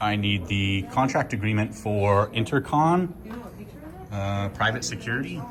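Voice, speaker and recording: A man with a plain, everyday voice talks at a fairly slow pace, his fairly low pitch carrying lively intonation. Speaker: first amendment auditor. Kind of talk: heated confrontation and records request. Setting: hospital lobby, filmed on camera. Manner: assertive, argumentative.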